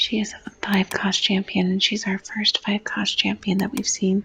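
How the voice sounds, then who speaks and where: Soft-spoken delivery stays monotone, with flat intonation throughout. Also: woman. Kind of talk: gaming ASMR gameplay explanation.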